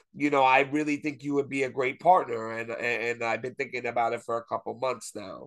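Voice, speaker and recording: A medium-pitched man talking at a fairly quick pace, with hardly any pauses. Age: 30s. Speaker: wrestling fan guest. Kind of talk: casual chat. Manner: animated.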